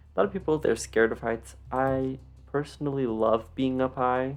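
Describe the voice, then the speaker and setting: Music plays in the background as the speaker goes along at a moderate pace. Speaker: gaming YouTuber. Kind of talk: game walkthrough tour. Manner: casual, many filler words.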